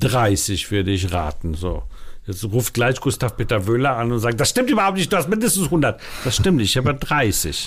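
Swinging very widely in pitch around a medium level, a man speaks at a moderate pace. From Denmark, Copenhagen (born in Warsaw). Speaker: film festival director. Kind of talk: interview.

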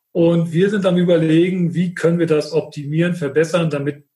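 A dark, mellow tone at a moderate pace with ordinary pitch variation. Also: man. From Mecklenburg, northeastern Germany. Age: 50s. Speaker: wastewater utility manager and process engineer. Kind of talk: podcast interview.

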